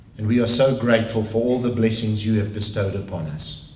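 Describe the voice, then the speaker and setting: Audible room echo surrounds a man with a South African accent speaking at a medium pitch and a moderate pace. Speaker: pastor. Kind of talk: prayer.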